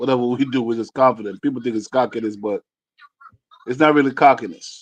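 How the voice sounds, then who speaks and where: A man talks at a very fast pace with a medium pitch. His intonation stays fairly even. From Jamaica. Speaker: podcast co-host. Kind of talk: casual chat.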